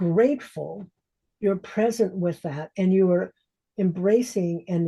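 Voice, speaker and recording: A woman with a dark, mellow tone speaks somewhat breathily at a moderate pace, her medium pitch showing ordinary variation. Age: 70s. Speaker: transformational coach. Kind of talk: interview conversation.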